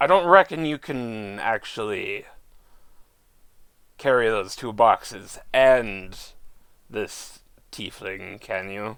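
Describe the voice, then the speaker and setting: Speaking in a put-on character voice, a man with a medium pitch moves at a very slow pace. His intonation is lively, broken by long, frequent pauses. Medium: actual play. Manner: folksy, blunt.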